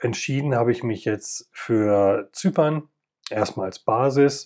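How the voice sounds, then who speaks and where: A man's voice carries a dark, mellow tone with ordinary pitch variation. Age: 50s. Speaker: podcast host, former paramedic. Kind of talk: personal monologue.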